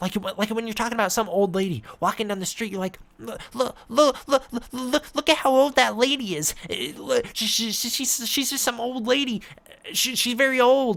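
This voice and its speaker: Someone in a put-on character voice speaks at a moderate pace with a fairly high pitch. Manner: exaggerated, fast, repetitive.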